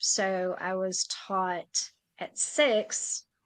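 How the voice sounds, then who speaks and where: Fairly even intonation in a woman's voice of medium pitch. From rural Tennessee, US South. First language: German. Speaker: sign language interpreter and author. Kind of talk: interview. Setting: podcast.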